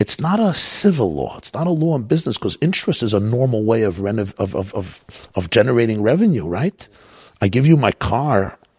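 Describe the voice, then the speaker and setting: A somewhat breathy man with an American accent talks at a fairly quick pace, his pitch swinging very widely. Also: medium pitch for a man. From US Northeast, Brooklyn. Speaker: rabbi. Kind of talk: interview. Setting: at his home.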